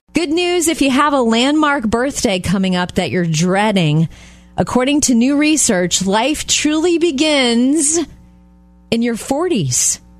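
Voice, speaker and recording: With music in the background, a woman speaks at a high pitch and a fairly slow pace, her pitch swinging very widely while her loudness stays very even. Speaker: radio host. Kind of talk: casual chat. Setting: studio.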